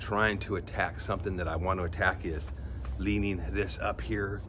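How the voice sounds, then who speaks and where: Against noticeable background noise, a man talks in a very deep, low voice. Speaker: fitness vlogger. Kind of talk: casual vlog chat. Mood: candid, slightly wry. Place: garden. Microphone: phone near.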